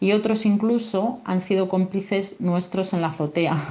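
A woman's medium-pitched voice with fairly even intonation, an ordinary speaking voice. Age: 40s. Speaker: civil servant. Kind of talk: personal testimony.

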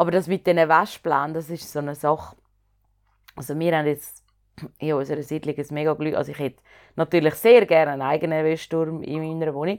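Woman at a very fast pace with a very deep, low pitch and long, frequent pauses. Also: fairly even intonation. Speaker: podcast co-host and performer. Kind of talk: casual chat.

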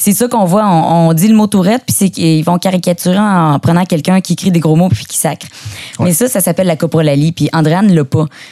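A woman with a Quebec accent speaks at a fairly quick pace in a raspy voice with a dark, mellow tone. The pitch varies in an ordinary way, and the sound is dry and close with no echo. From Quebec, Beauce. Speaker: actress and guest co-host. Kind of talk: casual chat.

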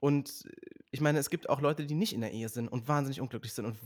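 The background is silent in this very clean recording. A man talks in it with ordinary pitch variation. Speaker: author and social media creator. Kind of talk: casual chat. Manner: fast.

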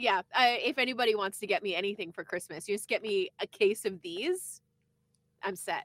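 Speaking at a moderate pace with a Canadian accent, a woman has a plain, everyday voice at a medium pitch with ordinary pitch variation, in a dry, close sound with no echo. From eastern Canada. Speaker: podcast co-host, former radio worker. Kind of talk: casual chat.

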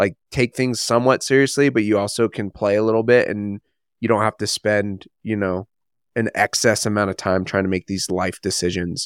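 A man with a plain, everyday voice speaks at a fairly quick clip, his fairly low pitch held in fairly even intonation, in a dry, close recording with no echo, very clean and with a silent background. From US, Mexican-American. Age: 30s. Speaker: podcast co-host. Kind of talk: casual chat.

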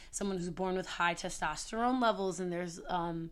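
With ordinary pitch variation and a medium pitch, this woman speaks in an unremarkable speaking voice. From Prince George's County, Maryland. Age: 20s. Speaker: podcast co-host and theater teacher. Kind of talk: casual chat.

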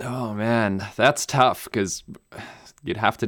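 On a very clean recording with a silent background, a man with a German accent talks at a fairly slow pace with ordinary pitch variation. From Namibia. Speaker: pilot and video creator. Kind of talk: interview. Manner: hesitant with many fillers.

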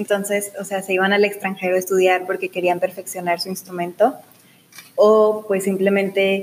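Her pitch is medium and her pace moderate. The woman's intonation is monotone and flat. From Mexico, Ciudad Juárez, Chihuahua. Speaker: student. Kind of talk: casual interview. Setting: studio.

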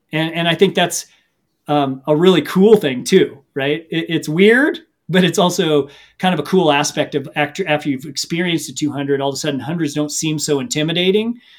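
Talking at a fairly quick pace, a man with an American accent has a plain, everyday voice, fairly high in pitch with ordinary pitch variation. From US Midwest, Missouri. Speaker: ultra runner and coach. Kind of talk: casual interview.

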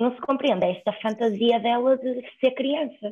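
A woman's fairly high voice at a fairly slow pace, an ordinary speaking voice. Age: 20s. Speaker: law student. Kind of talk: casual chat.

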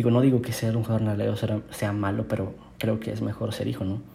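Audible room echo and noticeable background noise fill the recording. A man talks through them. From northern Mexico, Monterrey. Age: 20s. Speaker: youth preacher. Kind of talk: devotional sermon. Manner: casual, with frequent word repetitions.

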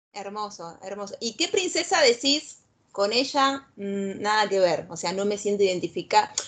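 A woman with a Rioplatense accent speaks at a fairly slow pace and medium pitch. Her intonation is lively, and her loudness swings widely. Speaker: podcast host. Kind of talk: casual chat. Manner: animated.

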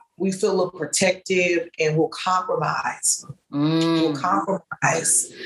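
Very slowly and with very even loudness, a woman with a fairly low voice speaks in a slight Southern US accent, her intonation fairly even. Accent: slight Southern twang. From US Midwest. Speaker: author and blogger. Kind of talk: casual interview conversation.

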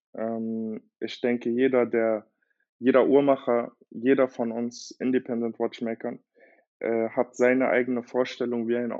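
Monotone and flat in intonation, a man speaks at a medium pitch and a fairly slow pace. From Germany, Berlin. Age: 20s. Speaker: watchmaker. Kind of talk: interview conversation.

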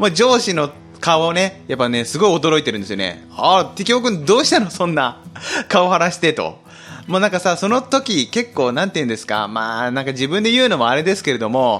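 The speaker is a man with a high pitch and a fairly quick pace. His pitch swings very widely. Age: 30s. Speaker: podcast host. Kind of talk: solo casual talk.

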